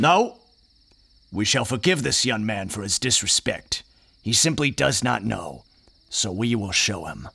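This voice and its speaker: Using a put-on character voice at medium pitch, a man leaves long, frequent pauses. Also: moderate pace. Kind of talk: audio drama dialogue, sermon-like.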